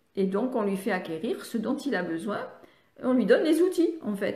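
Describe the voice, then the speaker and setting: A woman speaks with a fairly high pitch and a somewhat breathy sound. Room echo is audible. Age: 70s. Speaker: speech therapist and reading educator. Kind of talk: live online training session. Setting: live stream on social media. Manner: halting, many hesitations.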